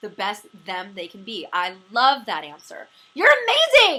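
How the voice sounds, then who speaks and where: A woman with a West Coast US accent speaks at a moderate pace in a fairly high pitch and a bright, sharp tone. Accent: General American, West Coast. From California, Los Angeles. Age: 40s. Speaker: interview show host, comedian. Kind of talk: interview.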